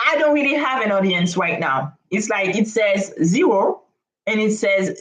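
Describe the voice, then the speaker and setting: A woman speaks with a non-native accent at a medium pitch. Her pace is fairly slow. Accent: non-native accent, noticeable. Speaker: startup founder. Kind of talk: live stream monologue. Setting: live stream on camera. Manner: hesitant, with frequent fillers.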